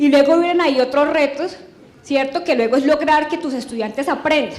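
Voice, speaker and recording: A woman with a high voice talks at a fairly quick pace and with fairly even intonation, and audible room echo surrounds her. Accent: strong Santander. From Colombia, Santander (Girón). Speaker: education official, former teacher. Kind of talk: testimony speech.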